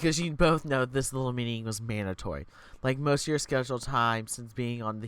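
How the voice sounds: In a natural reading voice, the pitch moves with ordinary variation.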